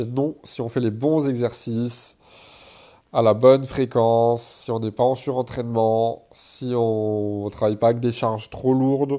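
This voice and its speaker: Fairly even intonation and a dark, mellow tone carry this man's medium-pitched voice. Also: quiet background. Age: 20s. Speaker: fitness and self-development podcaster. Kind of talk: solo Q&A podcast. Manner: casual.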